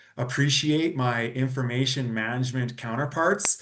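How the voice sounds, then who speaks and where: A man with a Canadian accent has an ordinary speaking voice at medium pitch. He talks at a moderate pace with fairly even intonation. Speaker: data strategist. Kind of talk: presentation.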